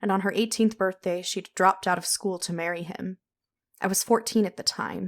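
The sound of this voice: An unforced reading voice with fairly even intonation is heard against a quiet background.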